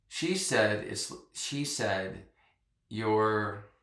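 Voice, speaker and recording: A man's voice with audible room echo. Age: 60s. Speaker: massage therapist. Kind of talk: interview.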